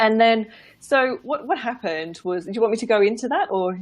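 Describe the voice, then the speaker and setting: A woman with an English accent and lively intonation. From England. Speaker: business and life mindset coach. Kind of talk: casual interview on a livestream. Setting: live video broadcast.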